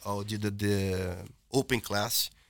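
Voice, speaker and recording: On a very clean recording with a silent background, a man speaks with a Portuguese accent in a fairly low pitch. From Brazil. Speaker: jiu-jitsu instructor. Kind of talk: casual chat.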